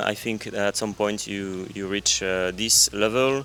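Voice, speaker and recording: A man with a French accent, fairly low in pitch, at a fairly slow pace with fairly even intonation over noticeable background noise. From France. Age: 30s. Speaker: backpacker. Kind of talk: casual interview. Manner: halting.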